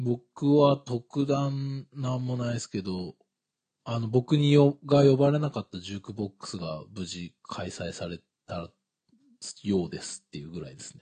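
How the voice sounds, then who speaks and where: Dry and close with no echo, a man's somewhat breathy voice has a dark, mellow tone, medium pitch and lively intonation, moving at a moderate pace with big swings in loudness. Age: 30s. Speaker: podcast co-host. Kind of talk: casual chat.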